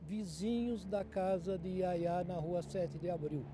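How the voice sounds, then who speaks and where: A man talks at a very slow pace in a high voice. His tone is dark and mellow, and his intonation is fairly even. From Brazil, Mogi das Cruzes (São Paulo state). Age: 70s. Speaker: journalist. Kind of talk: oral history testimony.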